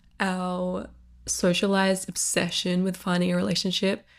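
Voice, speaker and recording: A woman talks with an Australian accent. Her pace is moderate. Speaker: podcast host. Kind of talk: solo podcast monologue. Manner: casual, filler-heavy.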